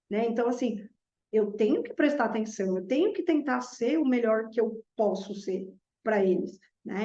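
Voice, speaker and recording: Her voice is fairly high, somewhat breathy and dark and mellow in tone, as the woman talks at a moderate pace with ordinary pitch variation. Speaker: math teacher. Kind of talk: reflective monologue.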